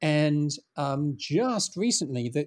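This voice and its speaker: Recorded very cleanly against a silent background, the voice has a dark, mellow tone and an English accent, with a dry, close sound and no echo. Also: man. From England. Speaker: founder of a script preservation project. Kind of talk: interview conversation. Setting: call.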